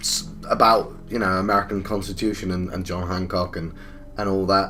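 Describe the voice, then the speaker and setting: Music plays in the background as a man speaks with an English accent. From England. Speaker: gaming YouTuber. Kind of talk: let's play commentary. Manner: halting.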